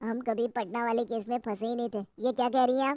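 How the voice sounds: In a cartoonish character voice, a female-sounding speaker talks at a very fast pace and fairly high pitch on a very clean recording with a silent background.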